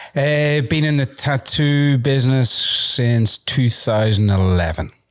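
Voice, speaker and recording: At a very slow pace, a man with a strong Irish accent speaks at a medium pitch and very even loudness. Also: ordinary pitch variation. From Ireland. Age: 50s. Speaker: tattoo convention organizer and entrepreneur. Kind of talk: casual chat. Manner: hesitant, many fillers.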